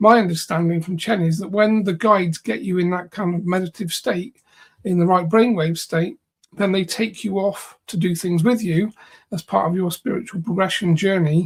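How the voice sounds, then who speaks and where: Moderately paced speech from a man, high in pitch and fairly even in intonation. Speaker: psychic healer and trance channel. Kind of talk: casual chat. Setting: livestream. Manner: monotone.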